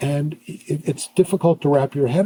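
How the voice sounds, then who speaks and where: A man with an American accent speaks at a fairly high pitch with ordinary pitch variation, his tone dark and mellow and somewhat breathy. The sound is dry and close, with no echo. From US Northeast, Pennsylvania. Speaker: neuropsychologist. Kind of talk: podcast interview.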